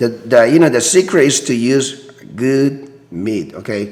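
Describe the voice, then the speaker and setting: The speech has lively intonation at a very slow pace. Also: man. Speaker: cooking channel host. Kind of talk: cooking tutorial. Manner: casual, halting with fillers.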